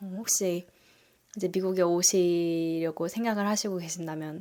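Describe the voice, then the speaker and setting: In a plain, everyday voice of medium pitch, a woman speaks at a moderate pace on a very clean recording with a silent background. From South Korea. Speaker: nurse and family vlogger. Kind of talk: casual vlog talk.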